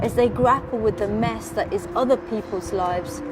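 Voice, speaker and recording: With music playing in the background, a woman talks at a moderate pace using lively intonation. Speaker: poet. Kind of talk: poetry reading.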